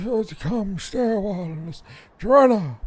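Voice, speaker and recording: The speaker uses a put-on character voice with a fairly high pitch at a fairly slow pace. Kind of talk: courteous, old-fashioned invitation.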